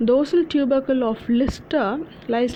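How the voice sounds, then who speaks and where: This is a woman talking. The rise and fall of her pitch is ordinary. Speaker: anatomy tutor. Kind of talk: lecture. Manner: halting, many fillers.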